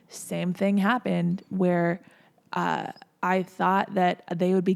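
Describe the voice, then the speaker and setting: A woman with an American accent at a fairly slow pace, in a very clean recording with a silent background. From Minnesota, US. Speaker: entertainment media personality. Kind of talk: casual podcast interview.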